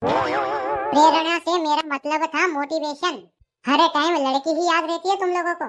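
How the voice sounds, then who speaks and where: A high-pitched, put-on character voice at a moderate pace, with music in the background. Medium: voice reel. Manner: exasperated, lecturing.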